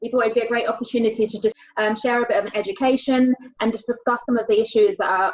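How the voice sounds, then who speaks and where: A woman's very fast speech with a British accent. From England. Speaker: panel host. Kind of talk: panel discussion.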